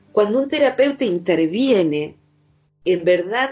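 A woman with an Argentine Rioplatense accent and lively intonation, music in the background. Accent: Rioplatense Argentine Spanish with voseo. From Argentina, Buenos Aires. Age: 50s. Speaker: psychologist. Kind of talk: interview.

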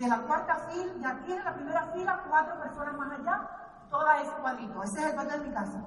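Animated and lively in intonation, a woman speaks at a high pitch and fairly quick pace, with audible room echo. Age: 50s. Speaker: network marketing speaker. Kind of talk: motivational talk.

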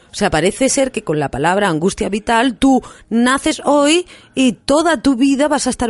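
A woman speaks at a moderate pace with a fairly high pitch. The sound is dry and close, with no echo. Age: 40s. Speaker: hypnotherapist and radio host. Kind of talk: radio talk show conversation.

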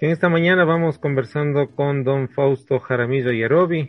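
With a plain, everyday voice, a man talks at a moderate pace, fairly high in pitch and with fairly even intonation. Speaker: radio host. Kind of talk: radio interview.

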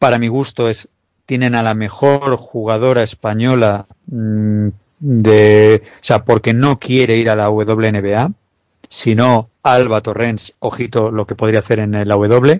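Very slow delivery with fairly even intonation and a dry, close sound with no echo. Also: man, medium pitch for a man. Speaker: basketball analyst. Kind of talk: sports analysis chat. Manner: halting.

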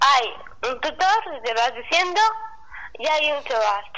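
A woman's raised, projected voice at a fairly slow pace, with lively intonation and noticeable background noise. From Spain, Segovia. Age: 20s. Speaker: student with Down syndrome. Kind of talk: casual chat. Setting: phone call.

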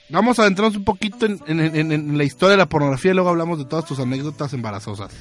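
A man speaks very fast in a fairly high voice, his tone animated and his intonation lively. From Mexico, Tabasco. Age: 30s. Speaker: radio show host. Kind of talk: casual chat.

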